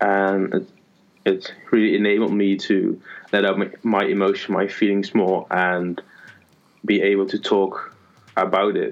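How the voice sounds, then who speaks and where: In a Dutch accent, a man speaks at a fairly low pitch and a fairly slow pace with long, frequent pauses, monotone and flat intonation, and very even loudness. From Netherlands. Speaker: lifestyle blogger. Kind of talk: casual chat. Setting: call recording. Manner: halting.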